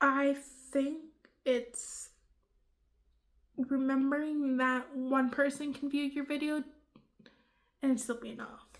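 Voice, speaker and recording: Mumbling at a very slow pace with long, frequent pauses, a woman speaks with a high pitch. Her intonation is monotone and flat, while her loudness swings widely. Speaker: beauty and vlog YouTuber. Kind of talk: casual Q&A vlog. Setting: at home. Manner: quiet.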